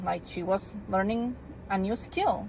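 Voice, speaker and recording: In a Spanish accent, a woman speaks at a fairly slow pace. Her voice is somewhat breathy, with ordinary pitch variation. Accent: non-native English, Spanish. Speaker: homeschooling parent. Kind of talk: casual product review vlog. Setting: in a car. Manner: casual, with frequent fillers and restarts.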